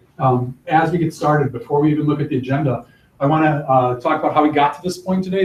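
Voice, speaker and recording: Somewhat breathy and fairly high-pitched, a man speaks at a very fast pace with ordinary pitch variation. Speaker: college faculty presenter. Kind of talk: workshop presentation. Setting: classroom, live streamed.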